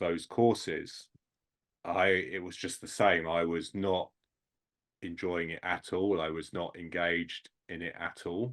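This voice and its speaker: In a quiet background, the man talks at a fairly slow pace. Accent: British. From England. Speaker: sports industry headhunter and mentor. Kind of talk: podcast interview.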